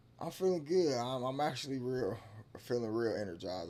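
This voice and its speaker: A man's dark, mellow tone, lively intonation and fairly quick pace amid audible room echo. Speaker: podcast guest. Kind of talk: casual chat. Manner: halting.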